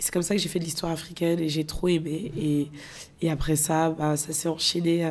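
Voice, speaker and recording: A woman speaks at a fairly quick pace in a very deep, low voice. Her intonation stays monotone and flat. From France, of Guinean parents. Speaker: filmmaker. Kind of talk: interview.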